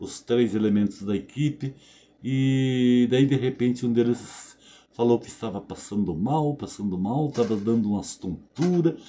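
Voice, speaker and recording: A man's medium-pitched voice carries a dark, mellow tone and ordinary pitch variation. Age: 70s. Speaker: video blogger. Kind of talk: casual monologue to camera. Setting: home bedroom. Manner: conversational, frequent fillers.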